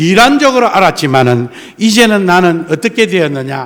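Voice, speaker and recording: A man talks with a strong Gyeongsang accent. His pitch swings very widely. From South Korea, Gyeongsang coast (Tongyeong/Geoje). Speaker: pastor. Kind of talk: sermon. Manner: animated.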